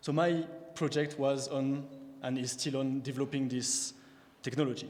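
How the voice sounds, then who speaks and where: A man with a French accent speaks at a moderate pace and a fairly high pitch, with audible room echo. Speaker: PhD researcher, prize recipient. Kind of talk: scientific talk. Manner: halting, with fillers.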